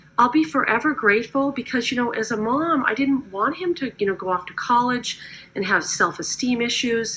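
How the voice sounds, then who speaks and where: Against noticeable background noise, a woman with a fairly high voice speaks at a moderate pace with lively intonation. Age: 50s. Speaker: network marketing distributor. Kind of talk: testimony. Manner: casual, conversational.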